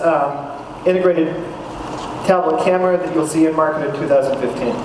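A man's voice carries audible room echo. Noticeable background noise is present. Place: hall.

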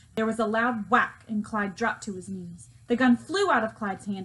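An unforced reading voice. It sounds natural and unstrained.

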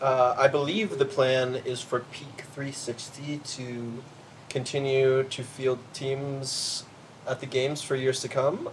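A man with an American accent talks at a very slow pace with fairly even intonation over light background noise. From US Mid-Atlantic. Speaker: CrossFit athlete. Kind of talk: casual chat. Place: garden.

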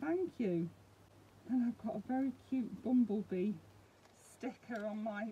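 Somewhat breathy speech with ordinary pitch variation over light background noise. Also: woman. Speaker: hobby vlogger. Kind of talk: casual vlog chat. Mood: warm, delighted, grateful. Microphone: phone near.

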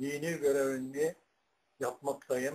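A man talks at a very slow pace. His pitch sits fairly high. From Turkey. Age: 80s+. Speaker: retired imam and muezzin; retired imam. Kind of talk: personal life story. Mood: calm, modest. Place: home room. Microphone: webcam.

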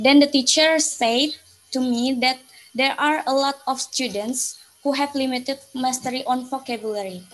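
Her pitch high for a woman, a woman keeps fairly even intonation at a moderate pace. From Indonesia. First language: Indonesian. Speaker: student presenting thesis proposal. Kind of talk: academic presentation. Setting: video call. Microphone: video call.

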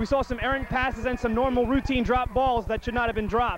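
Against noticeable background noise, a man speaks at an extremely high pitch with a dry sound and no echo. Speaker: sideline reporter. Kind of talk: sideline report. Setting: outdoors on football sideline. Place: stadium. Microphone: handheld.

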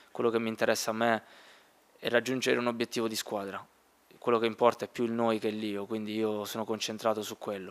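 The man talks at a very fast pace in a monotone, flat way. Long pauses break up his speech often. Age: 20s. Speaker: footballer. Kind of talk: press conference. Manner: halting. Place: meeting room. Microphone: podium.

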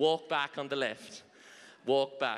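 With an Irish accent, a man speaks in an animated tone at a fairly slow pace and a fairly high pitch. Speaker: line dance instructor. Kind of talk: dance class instruction with counts. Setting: stage with audience. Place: hall. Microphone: handheld.

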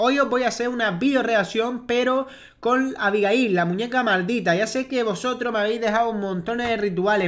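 This man's pitch is extremely high. He keeps a moderate pace. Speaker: youtuber. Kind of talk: casual vlog chat. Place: home room. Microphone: earbuds.

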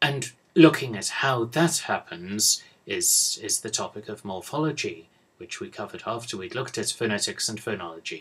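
With a British accent, a man speaks at a moderate pace, his loudness rising and falling in big swings. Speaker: university English professor. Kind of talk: lecture. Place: office. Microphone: webcam.

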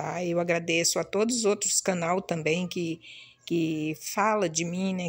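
A woman speaks at a very slow pace in a fairly low pitch. Her intonation is fairly even, and the background is quiet. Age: 60s. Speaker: video blogger. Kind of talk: casual vlog talk to viewers. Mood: proud, grateful, some grief. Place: home room. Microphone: phone near.

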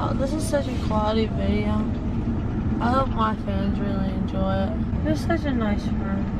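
A woman speaks over loud background noise. The sound is dry, with no echo. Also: moderate pace. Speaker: vlogger. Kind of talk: casual vlog chat. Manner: drowsy, slurred post-surgery speech. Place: car. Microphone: camera far.

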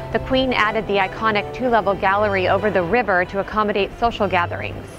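Speech moves at a fairly quick pace with music in the background. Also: woman. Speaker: travel vlogger narrator. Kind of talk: travel narration.

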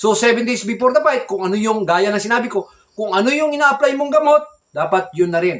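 The voice belongs to a man. It rises and falls through very wide pitch swings. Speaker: gamefowl breeder vlogger. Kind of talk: casual vlog talk.

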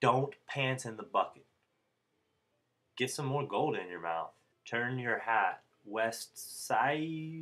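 A man's bright, sharp voice at a very slow pace, lively in intonation, over a quiet background. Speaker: comedy vlogger. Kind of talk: comedic parody how-to narration. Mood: deadpan playful comedy. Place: home room. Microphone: webcam.

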